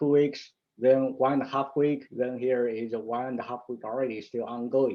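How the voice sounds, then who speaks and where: Here a man talks at a moderate pace in a medium pitch. His intonation is monotone and flat. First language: Mandarin. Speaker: stock market analyst. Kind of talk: market analysis tutorial. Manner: halting, with fillers and restarts.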